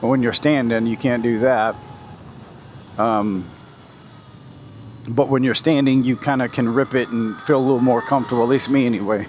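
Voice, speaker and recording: A man at medium pitch speaks at a moderate pace with long, frequent pauses, fairly even intonation and very even loudness, against noticeable background noise. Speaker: motovlogger. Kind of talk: casual chat. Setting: outdoors. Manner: shaky when seated on bumps.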